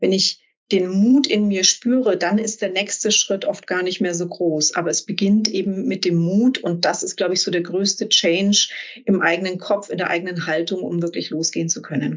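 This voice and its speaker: A woman talks at a moderate pace in a plain, everyday voice. Her pitch varies in an ordinary way. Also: medium pitch for a woman. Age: 40s. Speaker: executive coach and business angel. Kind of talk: interview.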